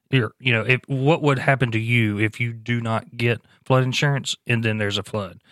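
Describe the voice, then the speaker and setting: A man speaks at a moderate pace in a normal speaking voice, medium in pitch with fairly even intonation, on a very clean recording with a silent background and a dry, close sound with no echo. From US Gulf Coast, New Orleans area. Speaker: emergency agency spokesperson. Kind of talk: casual interview. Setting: studio.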